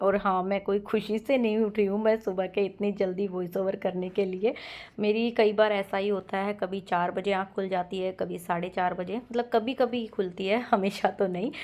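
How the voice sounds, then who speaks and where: The intonation is monotone and flat, with hardly any pauses. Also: woman, medium pitch for a woman. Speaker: housewife vlogger. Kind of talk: vlog voice-over narration. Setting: home, voice-over recorded at 5 am. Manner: casual, chatty.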